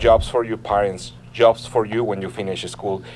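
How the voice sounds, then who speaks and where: Noticeable background noise behind a man at medium pitch with a Mexican accent, speaking at a moderate pace. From Mexico City. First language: Spanish. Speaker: political candidate. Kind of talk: interview. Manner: earnest, persuasive.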